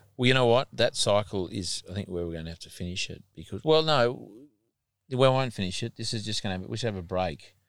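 Very fast speech from a man with an Australian accent, fairly low in pitch, with lively intonation and big swings in loudness, in a very clean recording with a silent background. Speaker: podcast host and farmer. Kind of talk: casual interview. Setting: on location at a farm.

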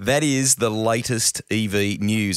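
In an Australian accent, a man talks in a dry, close sound with no echo. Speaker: podcast host. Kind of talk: casual chat; scripted narration.

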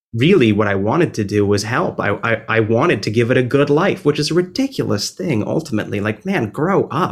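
A man with an American accent talks at a moderate pace and medium pitch, with lively intonation and an ordinary speaking voice. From New Jersey. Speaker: musician. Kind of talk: interview. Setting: video call.

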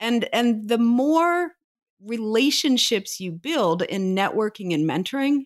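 Very wide pitch swings at a fairly slow pace, in an American accent, on a very clean recording with a silent background. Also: woman. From rural Ohio. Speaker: leadership consultant and professor. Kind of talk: interview.

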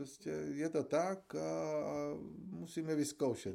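Over a very clean recording with a silent background, a man speaks in a dark, mellow tone. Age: old. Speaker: forensic pathologist and professor. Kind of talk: interview.

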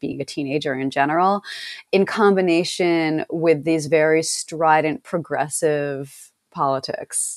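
A normal speaking voice with an American accent, ordinary pitch variation and a fairly slow pace, in a very clean recording with a silent background. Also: woman. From rural upstate New York. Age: 30s. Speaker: journalist and podcast co-host. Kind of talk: casual interview conversation.

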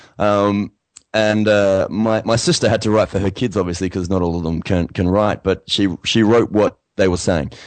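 A man with a fairly low pitch and an Australian accent. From Australia, Adelaide. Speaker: singer-songwriter. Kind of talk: casual interview.

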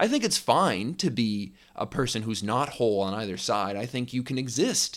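At a moderate pace, a man with an ordinary speaking voice talks in a fairly low pitch. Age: 20s. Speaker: podcast host. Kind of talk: solo reflective monologue.

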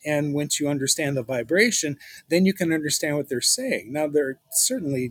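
In a dry, close recording with no echo, a man with a plain, everyday voice speaks at a moderate pace, his fairly high pitch varying in an ordinary way. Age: 60s. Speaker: spiritual guest, former hospitality executive. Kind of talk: interview.

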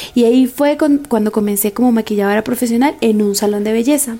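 Over music in the background, a woman with a fairly high voice talks at a fairly quick pace with fairly even intonation. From Venezuela, San Cristóbal (Táchira). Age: 20s. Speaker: makeup artist. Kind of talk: testimony.

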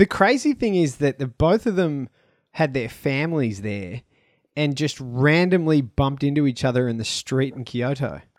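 With an Australian accent, a man speaks at a moderate pace and a fairly high pitch, on a very clean recording with a silent background and a dry, close sound with no echo. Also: lively intonation. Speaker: stand-up comedian and comedy promoter. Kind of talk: casual chat.

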